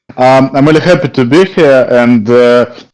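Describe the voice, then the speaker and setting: With a non-native accent, a man speaks at a moderate pace using ordinary pitch variation. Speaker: newsletter editor. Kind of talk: community call presentation. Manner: halting.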